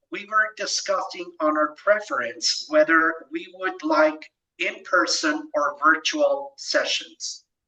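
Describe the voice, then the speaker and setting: Fairly slow speech in a Spanish accent. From Mexico. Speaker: presenter. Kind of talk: lecture.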